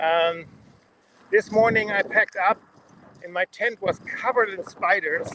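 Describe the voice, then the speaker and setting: Speech comes at a fairly slow pace with a German accent. Noticeable background noise runs underneath. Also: man, dry, close sound with no echo. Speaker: leadership coach cycling around the world. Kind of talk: video diary vlog. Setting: outdoors. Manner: halting, many fillers.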